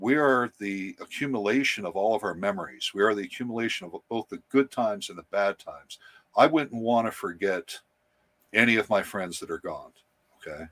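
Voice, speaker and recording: An ordinary speaking voice from a man at medium pitch, fairly quick, with big swings in loudness, a dry, close sound with no echo, and a very clean recording with a silent background. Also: ordinary pitch variation. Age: 60s. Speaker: spiritual speaker. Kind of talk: casual chat.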